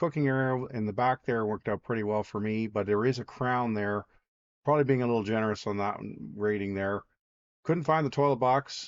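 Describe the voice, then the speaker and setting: A man talks fairly quickly at a medium pitch with ordinary pitch variation. He has a normal speaking voice. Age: 60s. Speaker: outdoor vlogger. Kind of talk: casual vlog narration. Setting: outdoors.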